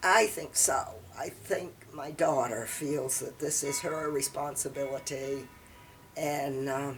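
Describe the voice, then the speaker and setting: With music in the background, someone with an American accent speaks at a very slow pace and fairly even intonation. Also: woman, very deep, low pitch for a woman. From southern Maine, USA. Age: 80s+. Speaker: retired librarian. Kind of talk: interview answer.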